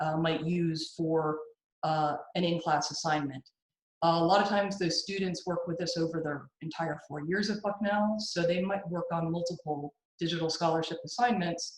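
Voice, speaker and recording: This woman has a fairly low-pitched voice and fairly even intonation. She talks at a moderate pace. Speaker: digital scholarship specialist and workshop presenter. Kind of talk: workshop presentation. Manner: halting with many fillers.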